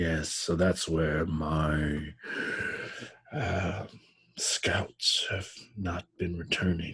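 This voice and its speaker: In a put-on character voice, a man speaks very slowly at a very deep, low pitch, leaving long, frequent pauses. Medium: actual play. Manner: unnerving, imperious.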